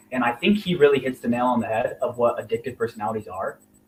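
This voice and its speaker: A man with an American accent talks at a very fast pace. His voice is somewhat breathy. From Indiana. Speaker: real estate investor. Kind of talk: interview.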